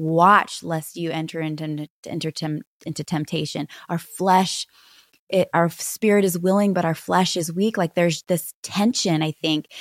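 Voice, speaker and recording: In a very clean recording with a silent background and a dry, close sound with no echo, a woman with an unremarkable speaking voice talks at a moderate pace and a fairly low pitch, her intonation fairly even. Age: 40s. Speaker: pastor's wife and author. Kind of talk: interview conversation.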